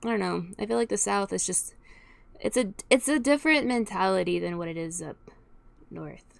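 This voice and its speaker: A woman speaks at a moderate pace with an American accent. Her loudness swings a lot. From Texas. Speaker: youtuber reacting to music. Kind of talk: casual reaction commentary. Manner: halting.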